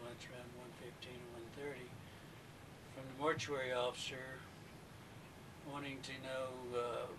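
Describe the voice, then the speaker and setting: A man speaks in a flat monotone, with noticeable background noise and audible echo from the room. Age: 60s. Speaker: former mortician, interviewee. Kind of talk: recorded witness interview. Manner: halting.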